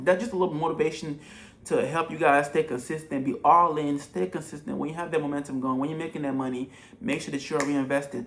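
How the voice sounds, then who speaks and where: Very fast speech from a man with a fairly high pitch and ordinary pitch variation, amid noticeable background noise. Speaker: entrepreneur giving business advice. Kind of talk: tutorial. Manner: animated.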